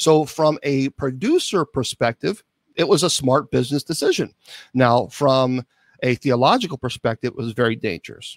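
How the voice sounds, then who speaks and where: Here a man speaks with a normal speaking voice at a medium pitch and moderate pace. His pitch variation is ordinary, and the sound is dry and close, with no echo. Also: very clean recording, silent background. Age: 50s. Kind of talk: interview.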